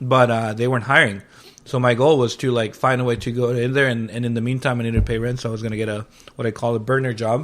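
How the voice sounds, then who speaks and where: The voice runs at a very fast pace with a Spanish accent. Its intonation stays monotone and flat. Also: man, medium pitch for a man. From Mexico. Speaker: chef and restaurant owner. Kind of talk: casual interview chat. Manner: casual, filler-heavy.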